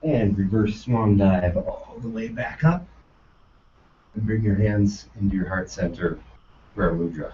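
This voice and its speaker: Pausing long and often, a man with a fairly low pitch talks at a fairly slow pace with ordinary pitch variation. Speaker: yoga teacher trainee. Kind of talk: yoga class instruction. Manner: loud; commanding.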